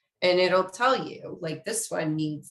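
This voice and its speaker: A woman's voice with audible room echo. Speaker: community engagement specialist, webinar presenter. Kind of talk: webinar lecture. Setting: online webinar. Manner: casual, conversational.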